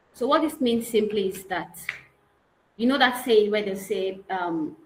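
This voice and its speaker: This woman has an ordinary speaking voice, fairly high in pitch, with lively intonation at a fairly slow pace. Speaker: real estate consultant and trainer. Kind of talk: online training lecture.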